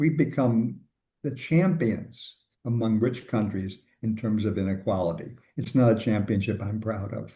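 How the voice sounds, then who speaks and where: A somewhat breathy man's voice, dark and mellow, at medium pitch and moderate pace with ordinary pitch variation. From US Midwest, suburban Chicago. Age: 80s+. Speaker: labor economist, professor. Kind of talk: interview conversation.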